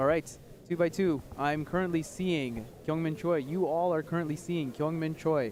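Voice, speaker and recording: Background music beneath a voice of ordinary pitch variation. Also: man. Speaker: live stream commentator. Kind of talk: live commentary. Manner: fast; animated.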